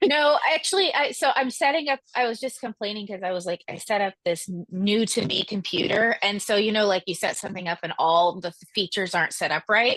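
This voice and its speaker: A woman at a fairly quick pace with hardly any pauses, fairly high pitch and lively intonation, in a dry, close sound with no echo. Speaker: webinar host. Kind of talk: live Q&A. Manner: loud.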